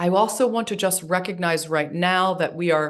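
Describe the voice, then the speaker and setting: Over a quiet background, a woman with a fairly low pitch speaks at a moderate pace with fairly even intonation. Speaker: trauma psychologist. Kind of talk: webinar lecture. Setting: online webinar.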